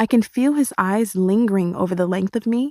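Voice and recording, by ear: Natural-voiced reading aloud with pitch that varies ordinarily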